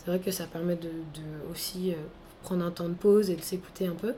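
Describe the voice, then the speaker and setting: Her dark, mellow tone at medium pitch carries fairly even intonation as the woman speaks at a moderate pace. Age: 20s. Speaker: entrepreneur, training company founder. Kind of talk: interview.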